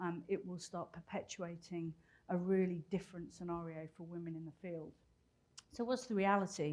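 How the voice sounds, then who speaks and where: A woman with a British accent and a fairly low pitch talks at a moderate pace, her intonation fairly even but her loudness swinging widely. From Britain. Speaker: business executive and keynote speaker. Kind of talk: conference talk.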